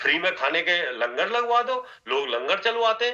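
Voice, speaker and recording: This man's voice is high in pitch, bright and sharp in tone, and raised to project. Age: 60s. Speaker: network marketing trainer. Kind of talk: motivational training talk.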